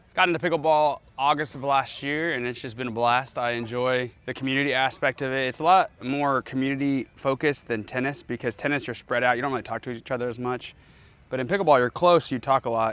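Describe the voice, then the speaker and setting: Very fast speech comes from a man whose pitch sits in the medium range. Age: young. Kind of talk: casual chat. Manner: animated.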